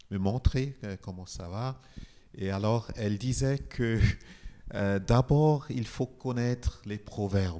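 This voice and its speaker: This man speaks very slowly with a Nigerian accent, his voice fairly low in pitch. The tone is dark and mellow, and the pitch varies in an ordinary way. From Nigeria, Igbo. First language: Igbo (speaking French). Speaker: composer. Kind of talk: interview talk. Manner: halting.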